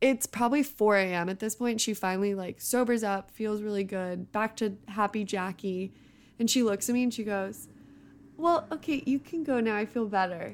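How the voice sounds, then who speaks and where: On a very clean recording with a silent background, a woman with an American accent and an unremarkable speaking voice talks at a moderate pace and fairly high pitch, varying her pitch in an ordinary way. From US West Coast, San Francisco Bay Area. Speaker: tech analyst, host's former college roommate. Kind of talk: casual chat.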